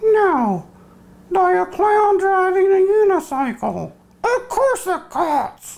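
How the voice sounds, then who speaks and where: In a cartoonish character voice, a man speaks at an extremely high pitch and a very slow pace. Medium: puppet.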